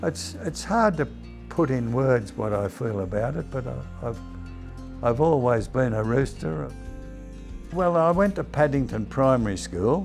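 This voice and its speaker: With music in the background, a man with an Australian accent speaks at a medium pitch and a fairly slow pace. His pitch swings very widely, and he takes long, frequent pauses. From Sydney, Australia. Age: 80s+. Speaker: retired rugby league player. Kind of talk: interview answer.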